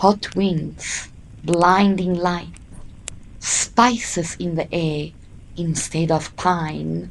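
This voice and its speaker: A woman talks at a very slow pace, leaving long, frequent pauses. Her pitch is fairly low and her intonation fairly even. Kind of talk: sleep story narration. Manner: slow, soothing, calm.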